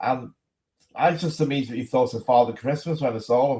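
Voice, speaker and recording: At a moderate pace, a man speaks in a fairly high pitch. His voice is somewhat breathy. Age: 60s. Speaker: political activist. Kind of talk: casual chat.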